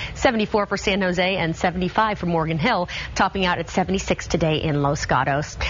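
An upbeat tone comes through at a fairly slow pace with ordinary pitch variation and light background noise. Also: woman, fairly low pitch for a woman. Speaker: TV weather forecaster. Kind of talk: live TV morning-news weather report, reading temperatures off on-screen maps. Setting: TV studio. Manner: brisk, upbeat broadcast delivery rattling off city-by-city numbers; friendly conversational asides to viewers, practical advice. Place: studio.

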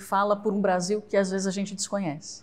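A woman's somewhat breathy voice with monotone, flat intonation. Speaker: interviewer, host. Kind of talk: interview introduction and question. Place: studio. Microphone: lapel.

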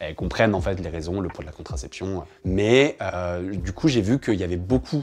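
A man with a very deep, low pitch and lively intonation. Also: moderate pace. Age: 30s. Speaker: journalist. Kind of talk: testimony. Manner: hesitant with fillers. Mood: calm, candid. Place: studio.

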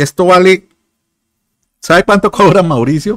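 The sound is dry with no echo and the background is quiet. A man speaks at a moderate pace. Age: 50s. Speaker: digital marketing consultant and YouTuber; YouTuber. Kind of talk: livestream sales talk. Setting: live stream.

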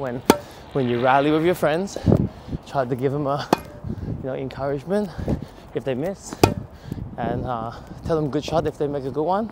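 With loud background noise and a dry sound with no echo, a man speaks at a moderate pace with long, frequent pauses. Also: ordinary pitch variation. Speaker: tennis coach. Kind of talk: running commentary while playing. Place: open country. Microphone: lapel.

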